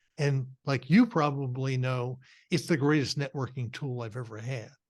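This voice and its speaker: Somewhat breathy and at medium pitch, a man speaks at a moderate pace with fairly even intonation. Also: quiet background. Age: 60s. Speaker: career consultant and podcast host. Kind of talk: interview conversation. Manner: halting, many fillers and restarts.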